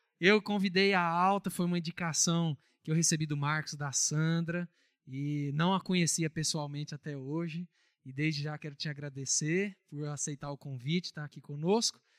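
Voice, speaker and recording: A man with an unremarkable speaking voice talks at a moderate pace, his pitch fairly high and his intonation fairly even. The recording is very clean with a silent background and a dry, close sound with no echo. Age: 30s. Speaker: pastor. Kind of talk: church announcements; prayer. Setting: church.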